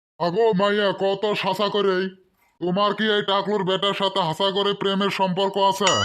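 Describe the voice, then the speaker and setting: Using a put-on character voice, a man speaks gruffly and high for a man, at a moderate pace, with monotone, flat intonation and very even loudness. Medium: cartoon. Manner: gruff, brusque, quick to anger.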